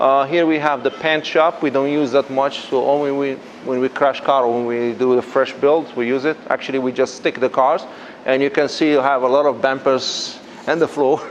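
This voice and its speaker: A man's fairly high voice at a moderate pace, monotone and flat, over noticeable background noise. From Morocco. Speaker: drift garage owner. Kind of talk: guided tour.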